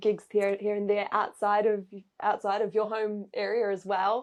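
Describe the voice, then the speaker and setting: Against a quiet background, a woman speaks with a New Zealand accent. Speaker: saxophonist and saxophone teacher. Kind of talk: casual interview chat.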